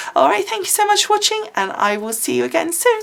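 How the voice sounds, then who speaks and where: This woman talks at a very fast pace in an English accent. Her extremely high voice makes very wide pitch swings. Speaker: craft video creator. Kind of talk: casual talk to camera.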